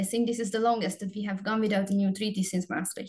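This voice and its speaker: A woman with a Hungarian accent has a somewhat breathy voice at a medium pitch. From Hungary. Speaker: research assistant. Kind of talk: panel presentation. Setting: webinar video call.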